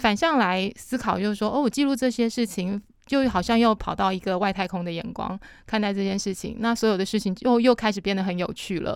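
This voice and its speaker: A normal speaking voice from a woman at medium pitch and fairly quick pace, with ordinary pitch variation, in a very clean recording with a silent background. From Matsu Islands, Taiwan. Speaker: café owner and local culture worker. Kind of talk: casual chat.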